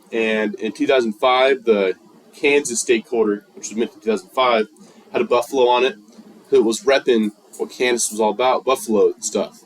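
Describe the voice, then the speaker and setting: A man's intonation is lively, and there is noticeable noise in the background. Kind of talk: speech. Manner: casual slang delivery; fast.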